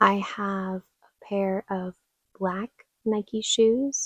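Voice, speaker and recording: A soft-spoken woman at medium pitch, flat and monotone in intonation, with a dry, close sound and no echo. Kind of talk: soft-spoken ASMR closet tour. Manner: soft-spoken, slow, quiet.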